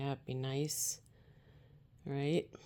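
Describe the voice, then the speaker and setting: A soft-spoken woman's very deep, low voice, calm in tone, at a very slow pace. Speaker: multi-cat owner and channel host. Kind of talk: soft-spoken ASMR vlog talking to cats while preparing their food. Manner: soft-spoken, calm, casual.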